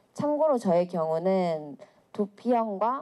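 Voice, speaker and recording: A woman's medium-pitched voice, very slow in pace. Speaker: public speaker, volunteer. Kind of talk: public talk to audience. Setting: stage with audience.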